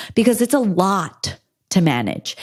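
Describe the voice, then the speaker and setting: An animated woman at a fairly slow pace, ordinary pitch variation, on a very clean recording with a silent background. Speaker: podcast host, women's health expert. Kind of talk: solo podcast talk. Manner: loud.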